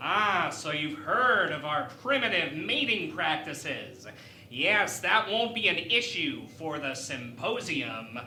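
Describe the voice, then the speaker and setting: In a put-on character voice with middle pitch, the speaker moves at a fairly slow pace through very wide pitch swings, with slight echo and clear background noise. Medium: audio drama. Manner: polite, diplomatic.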